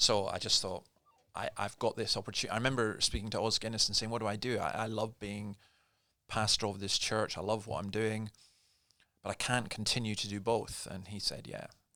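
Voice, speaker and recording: A man with a Scottish accent speaks at a fairly quick pace in a fairly low pitch, his bright, sharp tone held in a monotone, flat intonation, on a very clean recording with a silent background. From Scotland. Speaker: pastor. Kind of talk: casual chat. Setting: studio.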